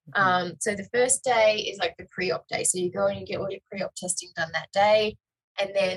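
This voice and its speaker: A woman at a fairly quick pace in a dry, close sound with no echo. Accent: Australian. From Australia. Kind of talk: interview answer.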